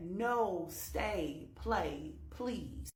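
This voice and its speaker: A woman performs a put-on character voice, with slight echo. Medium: solo performance. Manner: insidious, coaxing.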